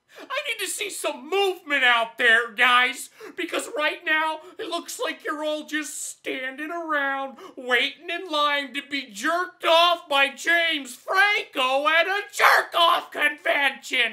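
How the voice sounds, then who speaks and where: The voice is high in pitch. It moves at a fairly slow pace. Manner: exasperated, pleading.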